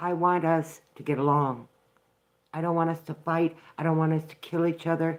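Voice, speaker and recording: A woman's fairly low voice in an American accent, monotone and flat, at a moderate pace with big swings in loudness. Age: 60s. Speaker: vlogger. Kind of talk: live stream commentary. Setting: live broadcast from home. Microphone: poor internet and phone connection.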